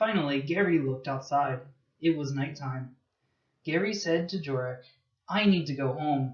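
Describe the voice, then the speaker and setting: A man with an American accent talks at a moderate pace in a fairly high, somewhat breathy voice, with long, frequent pauses. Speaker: English teacher. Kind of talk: children's story reading for English learners.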